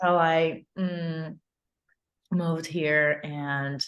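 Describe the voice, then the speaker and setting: A woman speaks with a Ukrainian accent. Her pitch is very deep and low, with fairly even intonation. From Ukraine. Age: 20s. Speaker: actress and stunt performer. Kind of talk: interview. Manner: halting, many fillers.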